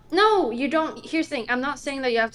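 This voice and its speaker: Ordinary pitch variation from a woman speaking in a non-native accent. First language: not English. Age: 20s. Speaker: streamer. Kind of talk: casual chat.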